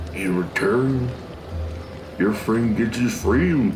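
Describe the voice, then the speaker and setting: A man performs a put-on character voice. Loud background noise runs underneath. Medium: machinima. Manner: laid-back, says "groovy, man".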